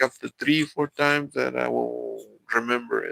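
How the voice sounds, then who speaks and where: A man speaks with a Mexican accent. The sound is dry and close, with no echo. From Mexico. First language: Spanish. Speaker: live streamer. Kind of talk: live stream chat with viewers. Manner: halting, many fillers and repeats.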